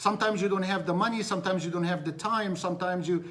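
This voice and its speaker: With a non-native accent and a high pitch, a man speaks amid audible room echo. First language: Arabic. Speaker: business coach. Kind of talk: live-stream motivational talk. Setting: live stream. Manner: animated.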